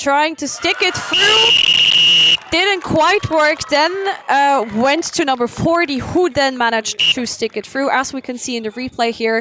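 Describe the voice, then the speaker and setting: A woman talks in a raised, projected voice at a high pitch, with very wide pitch swings. Her pace is fairly slow with hardly any pauses, over noticeable background noise. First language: not English. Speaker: sports commentator. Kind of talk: live commentary.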